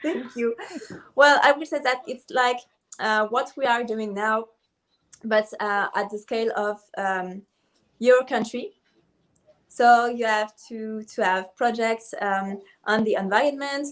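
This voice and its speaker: Pausing long and often, a woman with a French accent speaks at a fairly high pitch. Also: ordinary pitch variation, fairly slow pace. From Ivory Coast. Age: 20s. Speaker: beauty pageant contestant. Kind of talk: video call interview. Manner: halting.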